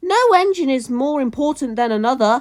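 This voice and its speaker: Sounding female, this put-on character voice sits high in pitch. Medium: read story.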